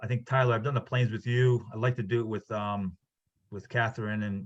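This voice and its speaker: A man with a medium-pitched, somewhat breathy voice talks at a fairly quick pace with fairly even intonation. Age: 60s. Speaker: instructor. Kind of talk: lecture. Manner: halting.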